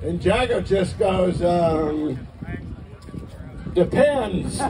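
Noticeable background noise sits behind a man talking at a very slow pace in a high pitch with lively intonation. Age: 80s+. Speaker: stand-up comedian. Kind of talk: stand-up comedy set. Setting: outdoors. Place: stage.

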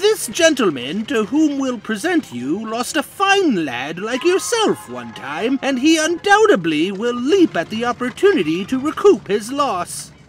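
A man's cartoonish character voice, extremely high in pitch, with very wide pitch swings and a moderate pace. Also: hardly any pauses. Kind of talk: cartoon comic dub. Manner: pompous, flowery, theatrical.

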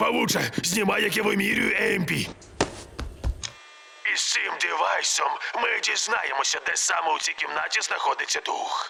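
A cartoonish character voice at a moderate pace, with long, frequent pauses over clear background noise. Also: man. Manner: crude, aggressive.

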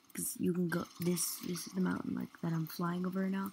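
A soft-spoken woman, fairly low-pitched, at a moderate pace. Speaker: gaming video creator. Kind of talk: gameplay commentary. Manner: halting, many fillers.

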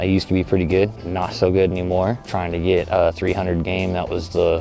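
Over clear music in the background, a man talks at a fairly quick pace in a very deep, low pitch. His intonation is monotone and flat, and the sound is dry with no echo. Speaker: vlogger testing a mic. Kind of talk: casual vlog chat. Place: waterside. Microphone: lapel.

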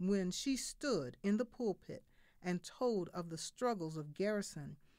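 Fairly low-pitched and at a fairly slow pace, a woman with an unremarkable speaking voice uses lively intonation. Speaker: reader of historical speeches. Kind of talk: reading of a historical eulogy. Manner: solemn, mournful.

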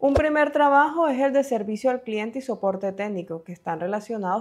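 Against a quiet background, a woman speaks with lively intonation at a moderate pace. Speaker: online career educator. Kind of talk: scripted narration. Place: home room. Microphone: lapel.

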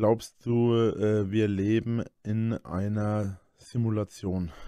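A man speaks in a fairly low voice with a dark, mellow tone and monotone, flat intonation. The sound is dry with no echo, over a quiet background. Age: 30s. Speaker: YouTuber. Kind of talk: casual monologue. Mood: defensive, explaining. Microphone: studio mic.

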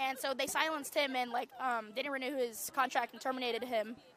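A raised, projected voice in a dry sound with no echo, over light background noise. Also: woman. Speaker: university student. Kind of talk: street interview. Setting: outdoors at a campus protest. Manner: casual, uses 'like' often. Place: open country.

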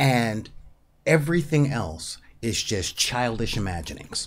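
A man's medium-pitched voice at a fairly slow pace, with big pitch swings

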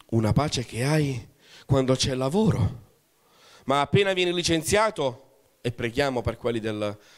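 A man talks at a medium pitch in an animated tone. His pitch swings very widely against a quiet background. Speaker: pastor. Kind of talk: sermon. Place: church. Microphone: handheld.

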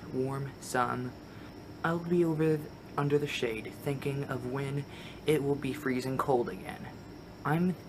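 Fairly slowly, a man speaks while noticeable noise sits in the background. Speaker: vlogger. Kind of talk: casual vlog chat. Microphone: phone near.

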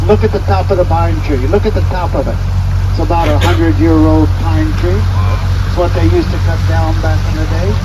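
Over noticeable background noise, a man talks at a fairly quick pace. His pitch varies in an ordinary way. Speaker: boat tour guide. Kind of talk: tour guide commentary. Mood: jokey, friendly. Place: boat. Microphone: camera far.

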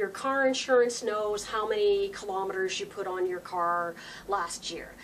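A woman speaks at a fairly slow pace with fairly even intonation. Light background noise sits behind her. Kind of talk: political video blog address. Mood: concerned, explanatory.

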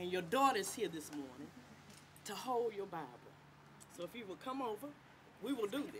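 The speech moves at a fairly quick pace. Long pauses come often, over light background noise. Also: woman. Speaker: judge. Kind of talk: oath administration at ceremony. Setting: stage with audience. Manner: warm and jovial. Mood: warm, heartfelt, faith-based. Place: street. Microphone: podium.

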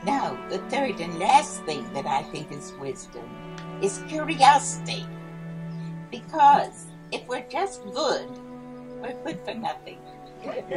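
Over clear music in the background, the voice moves at a very slow pace with long, frequent pauses and big swings in loudness. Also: woman. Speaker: speaker. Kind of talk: speech. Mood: lively, humorous. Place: garden. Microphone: podium.

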